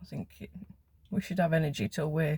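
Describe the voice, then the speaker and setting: A woman with a very deep, low, somewhat breathy voice speaks in a dark, mellow tone with lively intonation, in a dry, close sound with no echo. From West Midlands, England (Wolverhampton area). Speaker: vlogger. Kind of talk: casual chat.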